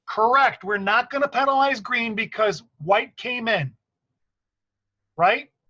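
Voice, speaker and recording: A man projects a bright, sharp voice at an extremely high pitch, speaking fairly slowly with ordinary pitch variation and long, frequent pauses. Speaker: basketball referee trainer. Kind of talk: training meeting. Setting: online meeting.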